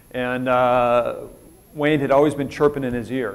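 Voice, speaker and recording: A man with a Minnesota accent, medium in pitch and fairly even in intonation, with audible room echo. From Minnesota, US Upper Midwest. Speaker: retired military officer, keynote speaker. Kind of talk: conference keynote talk. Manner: fast; casual, conversational with many fillers.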